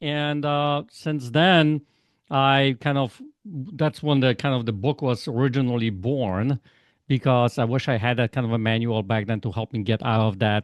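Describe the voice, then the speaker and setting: Recorded dry and close with no echo over a quiet background, a man talks at a moderate pace and a medium pitch with ordinary pitch variation. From Poland. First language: Polish. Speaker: life coach. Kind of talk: interview. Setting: podcast.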